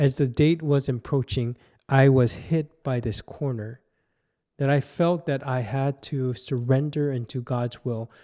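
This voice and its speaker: A man with a Korean accent talks at a fairly slow pace in a dark, mellow tone, the sound dry and close with no echo. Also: medium pitch for a man, very clean recording, silent background. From South Korea. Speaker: pastor. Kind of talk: personal testimony; devotional teaching talk.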